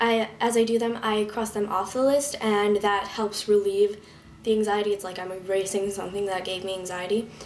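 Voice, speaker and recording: Noticeable background noise sits behind the speech. The speaker is a woman. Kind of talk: casual talk to camera.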